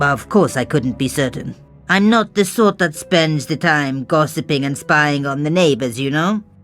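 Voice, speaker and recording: A man does a put-on character voice, fairly high in pitch, at a moderate pace. Clear music plays in the background. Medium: video game. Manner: wry, teasing.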